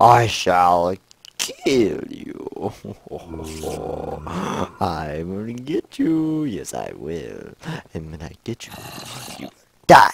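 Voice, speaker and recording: Putting on a character voice, a man speaks very slowly at a medium pitch, with big swings in loudness and long, frequent pauses. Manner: playful, mock-menacing.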